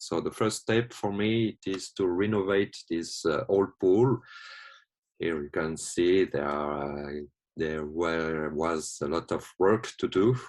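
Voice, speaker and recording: A man with a non-native accent, very deep and low in pitch, at a very slow pace with ordinary pitch variation against a quiet background. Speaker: watsu therapist. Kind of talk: presentation. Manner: halting.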